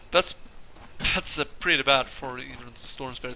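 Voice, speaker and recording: Against noticeable background noise, a man speaks at a moderate pace with a fairly high pitch. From Sweden. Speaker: game commentator. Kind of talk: live game commentary.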